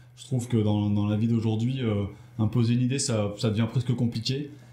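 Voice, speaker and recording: Somewhat breathy and dark, mellow in tone, a man at a medium pitch speaks at a moderate pace with monotone, flat intonation. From Brittany, France. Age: 40s. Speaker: entrepreneur. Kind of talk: interview. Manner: hesitant.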